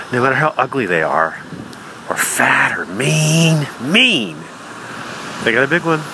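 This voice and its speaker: Amid noticeable background noise, a man with a medium pitch makes very wide pitch swings and leaves long, frequent pauses. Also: fairly slow pace. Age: 40s. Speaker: comedian. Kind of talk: stand-up.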